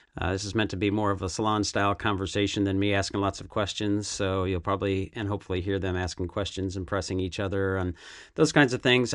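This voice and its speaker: Speaking in a normal speaking voice with an American accent, a man keeps a fairly low pitch and a fairly quick pace. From United States. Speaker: podcast host. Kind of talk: podcast intro and moderated panel discussion. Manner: casual with frequent fillers.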